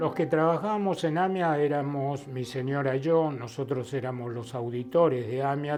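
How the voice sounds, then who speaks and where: At a fairly slow pace, a man talks at medium pitch over noticeable background noise. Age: 80s+. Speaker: bereaved father of a bombing victim. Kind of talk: testimony.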